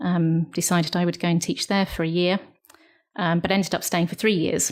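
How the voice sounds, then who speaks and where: A woman's fairly low voice with a British accent, at a fairly quick pace. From United Kingdom. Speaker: missionary. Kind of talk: interview answer.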